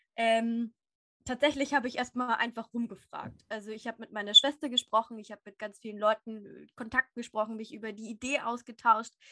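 A woman speaks at a fairly quick pace in a fairly high, bright, sharp voice with flat, monotone intonation. The sound is dry and close with no echo, and her loudness swings widely. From Upper Bavaria, Germany. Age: 20s. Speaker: animal therapist and platform founder. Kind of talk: casual interview.

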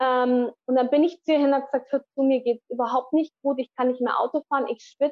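A woman's high-pitched voice at a very fast pace, with hardly any pauses, very even loudness and monotone, flat intonation. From Allgäu, Bavaria, Germany. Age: 40s. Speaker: spiritual healer. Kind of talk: interview. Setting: remote call from Mexico.

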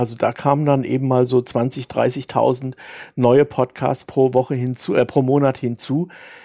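Dark, mellow male tone with a dry, close sound and no echo. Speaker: author and podcaster. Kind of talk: interview. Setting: remote call. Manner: hesitant.

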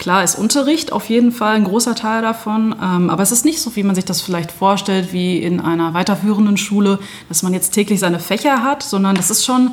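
A woman at medium pitch, fairly quick and with hardly any pauses, ordinary pitch variation, against noticeable background noise. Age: 30s. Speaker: nursing educator. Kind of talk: interview. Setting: on location, in person.

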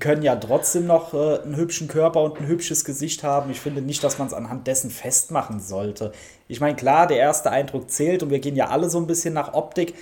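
Somewhat breathy and dark, mellow in tone, the voice moves at a moderate pace with ordinary pitch variation. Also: man. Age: 30s. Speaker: podcast guest. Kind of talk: casual chat. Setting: remote call.

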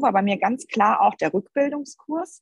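A woman speaks in a somewhat breathy voice. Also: dry, close sound with no echo. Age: 40s. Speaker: mother and athlete testing a course. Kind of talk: casual interview.

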